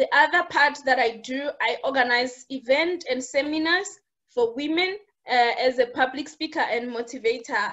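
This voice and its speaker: A woman speaks in a South African accent at a moderate pace. Her pitch is high, with ordinary variation. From South Africa, Limpopo village. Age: 30s. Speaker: internal auditor and entrepreneur. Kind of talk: interview.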